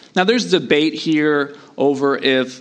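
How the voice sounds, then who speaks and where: A man talks with fairly even intonation amid audible room echo. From US Southeast. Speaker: pastor. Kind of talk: sermon.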